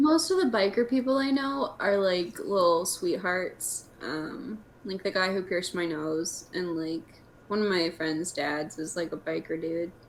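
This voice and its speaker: The voice has lively intonation over noticeable background noise. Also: woman, medium pitch for a woman, fairly slow pace. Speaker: podcast host. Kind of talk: casual chat. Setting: video call. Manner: animated.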